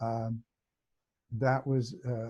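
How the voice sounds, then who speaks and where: Against a quiet background, a man with a medium pitch speaks in a dark, mellow tone, somewhat breathy and with monotone, flat intonation. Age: 70s. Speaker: hypnotherapist and teacher. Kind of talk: interview. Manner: halting, many fillers.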